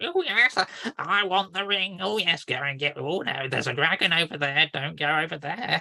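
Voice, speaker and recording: Middle-pitched put-on character voice, moving at a moderate pace. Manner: silly, mischievous.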